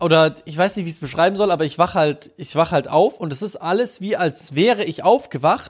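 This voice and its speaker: At a fairly quick pace, a man with a high pitch for a man speaks with big swings in loudness and ordinary pitch variation. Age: 20s. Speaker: podcast co-host. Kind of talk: casual chat.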